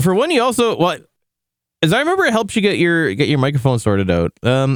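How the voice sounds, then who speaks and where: A man speaks very fast at a high pitch, with very wide pitch swings but very even loudness. The recording is very clean with a silent background. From Canada. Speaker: VTuber streamer. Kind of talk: casual chat. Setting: live stream. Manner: halting, many restarts. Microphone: good microphone setup.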